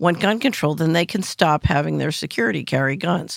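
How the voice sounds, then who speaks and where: A woman with an American accent talks very fast at a fairly low pitch with vocal fry, on a very clean recording with a silent background. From US Northeast, West Philadelphia. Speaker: financial analyst and former government official. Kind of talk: interview.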